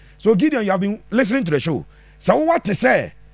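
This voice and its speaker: Pitched high, a man's voice swings very widely in pitch. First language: Twi. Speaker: football pundit. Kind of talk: live-stream football analysis answering viewer comments. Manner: animated.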